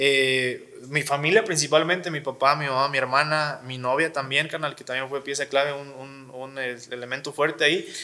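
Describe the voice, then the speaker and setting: A man's bright, sharp voice at a fairly high pitch, moderate pace with hardly any pauses, fairly even intonation, and big swings in loudness. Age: 20s. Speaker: wheelchair user sharing his story. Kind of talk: interview. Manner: halting, many fillers.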